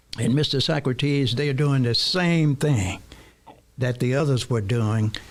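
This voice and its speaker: There is noticeable background noise. A man talks at a fairly slow pace with very even loudness. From US South, Mississippi Delta. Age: 70s. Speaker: radio co-host. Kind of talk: talk radio discussion. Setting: studio.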